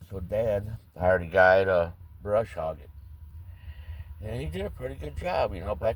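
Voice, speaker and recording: A man's very deep, low, somewhat breathy voice. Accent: American. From St. Louis, Missouri. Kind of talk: casual storytelling to camera.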